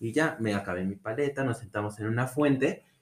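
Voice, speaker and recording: A man speaks with a Mexican accent. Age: 20s. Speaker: podcast guest. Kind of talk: casual chat.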